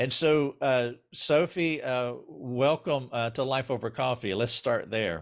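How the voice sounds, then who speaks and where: A man with a Southern US accent, medium pitch and ordinary pitch variation, fairly slow pace and hardly any pauses. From US South. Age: 60s. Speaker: interview host. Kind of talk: interview. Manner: halting, many fillers.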